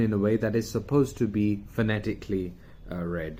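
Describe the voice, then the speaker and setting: A man with a British accent talks at a moderate pace, his fairly low voice dark and mellow in tone. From UK. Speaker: communication coach. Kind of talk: video talk. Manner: casual, with fillers.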